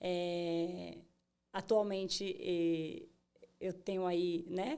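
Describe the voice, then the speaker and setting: Dark and mellow in tone, a woman's voice sits fairly low in pitch. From Bahia, Brazil. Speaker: tech entrepreneur. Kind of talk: interview. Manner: many fillers and hesitations.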